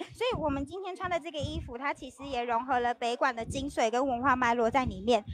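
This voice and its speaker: Over noticeable background noise, a woman with a high pitch talks at a very fast pace, with ordinary pitch variation and big swings in loudness. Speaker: video host. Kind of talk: live event tour interview.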